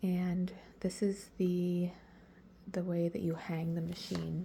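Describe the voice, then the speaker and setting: A woman is speaking. She is soft-spoken. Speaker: caregiver. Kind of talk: tutorial. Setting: bedroom at home.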